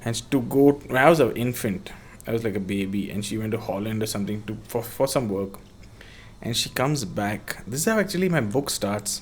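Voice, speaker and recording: A man with a South Indian accent, medium pitch, ordinary pitch variation and a fairly quick pace. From Bangalore, South India. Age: 30s. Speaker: skateboarder and skate-park builder. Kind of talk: casual chat.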